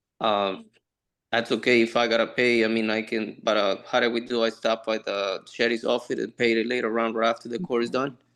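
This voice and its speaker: Fairly quick, flat, monotone speech from a man with a Spanish accent at a medium pitch, against a quiet background. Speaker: defendant. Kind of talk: court hearing. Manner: halting.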